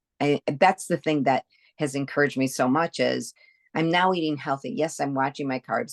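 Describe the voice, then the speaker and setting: A woman with a very deep, low pitch, vocal fry and ordinary pitch variation is heard in a dry, close sound with no echo. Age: 60s. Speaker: health coaching client. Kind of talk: interview testimony. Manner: halting.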